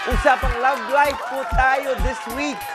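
A man talks at a fairly slow pace while music sounds in the background. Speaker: TV show host. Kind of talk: energetic host presentation. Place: studio.

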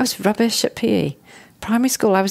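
A woman talks at a very fast pace. She has a southern English accent. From southern England, Hertfordshire. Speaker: chartered accountant. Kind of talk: interview. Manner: casual.

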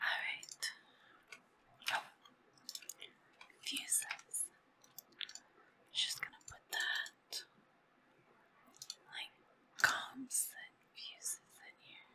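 The voice whispers at a very slow pace, broken by long, frequent pauses. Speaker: ASMR creator. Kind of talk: ASMR gaming commentary. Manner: whispered.

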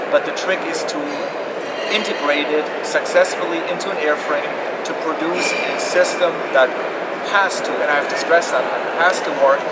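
Loud background noise sits under a man talking at a moderate pace. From Germany. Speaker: aviation safety engineer. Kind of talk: interview. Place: hall.

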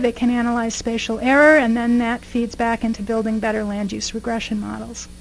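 This woman speaks in a high pitch. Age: 50s. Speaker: professor; guest lecturer. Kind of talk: lecture. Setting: stage with audience. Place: hall. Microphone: podium.

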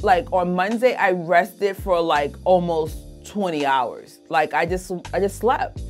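Faint music plays in the background as a woman speaks at a fairly slow pace. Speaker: weight vlogger. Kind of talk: casual vlog chat. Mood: frustrated, self-critical then upbeat. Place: home room. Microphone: phone near.

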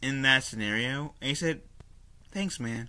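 Over a quiet background, a man's voice has a bright, sharp tone and ordinary pitch variation. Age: 20s. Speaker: YouTuber reviewing a cartoon. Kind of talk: solo video review. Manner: casual, frequent fillers and self-corrections. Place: home room. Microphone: webcam.

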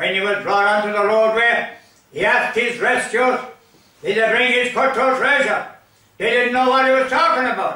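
A man with an Irish accent speaks in a raised, projected voice at an extremely high pitch, with fairly even intonation and a moderate pace. Audible room echo surrounds him. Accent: rural Irish (Limerick). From Ireland, County Limerick; Ireland. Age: 80s+. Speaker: storyteller. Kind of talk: storytelling. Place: home room.

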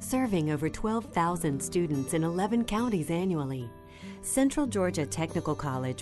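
With music in the background, a woman of fairly low pitch speaks at a moderate pace, her voice making very wide pitch swings. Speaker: voice-over narrator. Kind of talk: corporate narration.

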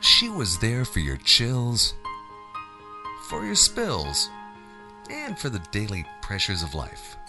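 Over clear music in the background, a man speaks at a very slow pace with long, frequent pauses. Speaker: voice actor. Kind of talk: TV commercial read. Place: studio. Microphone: studio mic.

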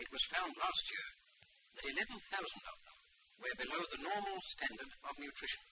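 A man talks fairly quickly, with noticeable background noise present. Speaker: politician, council leader. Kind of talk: official public statement.

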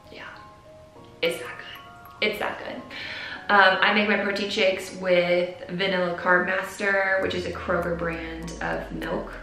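Speaking at a fairly slow pace, a woman with an American accent has a medium pitch, with audible room echo and faint music in the background. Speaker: fitness and nutrition vlogger. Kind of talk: casual talk to camera. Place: home room.

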